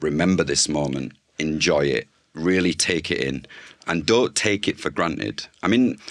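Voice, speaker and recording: With a Yorkshire accent, a man talks at a moderate pace in a very deep, low voice, his intonation lively and his delivery marked by vocal fry. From northern England, Bradford. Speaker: food journalist and communications consultant. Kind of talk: interview conversation.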